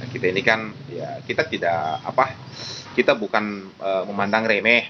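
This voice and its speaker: A man with a fairly low pitch talks at a moderate pace against noticeable background noise. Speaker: podcast host. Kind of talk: podcast interview questions.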